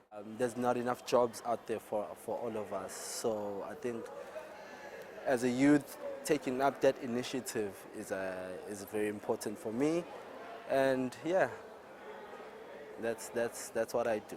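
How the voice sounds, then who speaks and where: Over noticeable background noise, a man of medium pitch talks at a fairly slow pace. He leaves long, frequent pauses, and his pitch varies in an ordinary way. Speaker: young entrepreneur interviewed in street vox pop. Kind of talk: vox pop interview.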